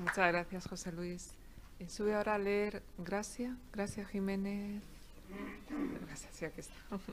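A woman at medium pitch speaks in a monotone, flat intonation at a fairly slow pace. Her loudness swings widely, and long, frequent pauses break up her speech. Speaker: poet and event moderator. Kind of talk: formal presentation and moderating. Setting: live event with audience. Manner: formal, repeats words, halting.

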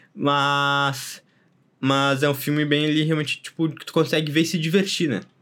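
Fairly high for a man, his bright, sharp voice moves at a moderate pace with fairly even intonation. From southern Brazil. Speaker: podcast host. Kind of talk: casual chat.

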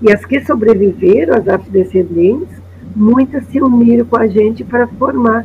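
A woman speaks with vocal fry at a fairly high pitch and ordinary pitch variation. Her pace is moderate. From Porto Alegre, southern Brazil. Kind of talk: storytelling testimony.

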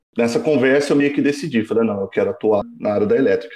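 A man with an unremarkable speaking voice, medium pitch and lively intonation. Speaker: engineering student. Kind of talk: casual chat.

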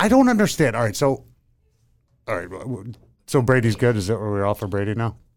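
Speaking at a fairly quick pace with long, frequent pauses, a man with an American accent uses a medium pitch and ordinary pitch variation on a very clean recording with a silent background. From Pennsylvania. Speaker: former football player, podcast co-host. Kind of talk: casual chat. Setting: studio. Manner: halting.

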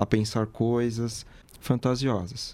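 A dark, mellow tone colors the voice. Its delivery is flat and monotone. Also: man. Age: 20s. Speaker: psychology student. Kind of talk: casual chat.

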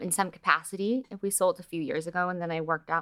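A woman with an American accent is heard on a very clean recording against a silent background. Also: dry, close sound with no echo. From Los Angeles, US. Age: 30s. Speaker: entrepreneur and TV producer. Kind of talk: casual interview chat.

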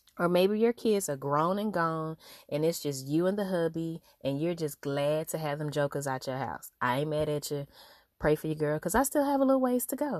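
In a very clean recording with a silent background, a woman speaks at a very deep, low pitch. Her intonation is lively and her pace moderate. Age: 30s. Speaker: podcast host. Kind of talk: solo monologue. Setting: recording in a closet. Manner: animated.

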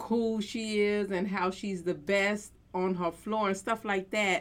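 A woman with a plain, everyday voice speaks at medium pitch with ordinary pitch variation, on a very clean recording with a silent background. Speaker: reaction channel host. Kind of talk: casual reaction commentary.

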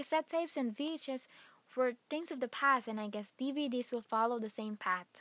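The recording is very clean, with a silent background. A woman with a Filipino accent talks at a fairly quick pace in a high, bright, sharp voice. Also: ordinary pitch variation. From Philippines. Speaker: podcast host. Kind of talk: casual solo podcast monologue.

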